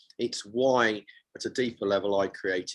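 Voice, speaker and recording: An ordinary speaking voice from a man, with fairly even intonation and a moderate pace, on a very clean recording against a silent background. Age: 60s. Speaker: men's coach and author. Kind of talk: interview. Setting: radio show.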